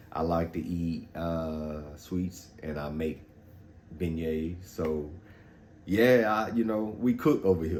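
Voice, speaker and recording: A man's very deep, low voice with a slight Louisiana accent, a very slow pace, ordinary pitch variation and audible room echo. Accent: Louisiana Southern accent, slight. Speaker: fitness vlogger. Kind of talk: casual vlog talk. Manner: casual, frequent fillers.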